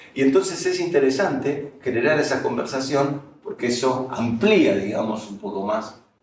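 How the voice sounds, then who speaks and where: A man talks at a moderate pace with very wide pitch swings. Audible room echo surrounds his voice. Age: 60s. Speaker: professor and management consultant. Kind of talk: lecture.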